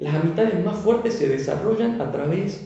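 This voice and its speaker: A man with a Tucumán accent and lively intonation speaks at a moderate pace amid noticeable background noise and audible room echo. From Tucumán, northwest Argentina. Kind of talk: devotional talk.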